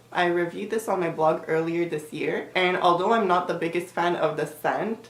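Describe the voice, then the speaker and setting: Audible room echo surrounds a woman with a fairly low pitch who talks at a moderate pace with fairly even intonation. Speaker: beauty vlogger. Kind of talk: product review vlog. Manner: casual, with fillers.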